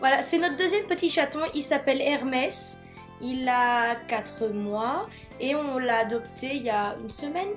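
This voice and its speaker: A woman speaks fairly slowly in a high voice with lively intonation. Music plays in the background. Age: 20s. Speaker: nursing student. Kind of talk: casual talk to camera.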